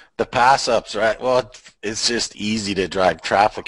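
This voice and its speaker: An ordinary speaking voice at a fairly slow pace. The intonation stays fairly even. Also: man. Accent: Canadian. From Canada. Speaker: online marketer. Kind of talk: casual chat. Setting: video call from home garage.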